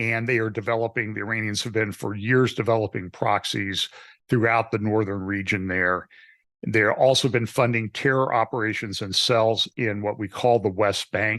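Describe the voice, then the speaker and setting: A man's fairly low, monotone voice with flat intonation at a moderate pace, set against a quiet background. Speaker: pastor. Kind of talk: interview.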